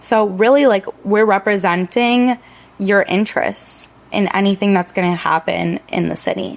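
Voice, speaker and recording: An unremarkable speaking voice from a woman with an American accent, medium pitch, ordinary pitch variation and a moderate pace. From Miami Beach, Florida. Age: 20s. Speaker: local political candidate. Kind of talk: podcast interview. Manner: casual, chatty.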